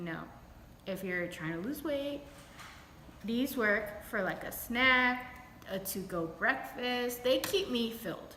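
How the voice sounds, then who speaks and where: A woman with an American accent, very slow pace, ordinary pitch variation and audible room echo. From New York. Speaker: beauty and lifestyle vlogger. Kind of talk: casual vlog talk to camera. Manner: casual, chatty.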